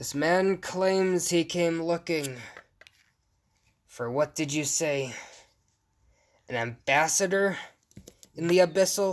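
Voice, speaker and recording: Someone uses a put-on character voice at a fairly slow pace, with long, frequent pauses. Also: man, high pitch for a man. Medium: actual play. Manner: cold, regal.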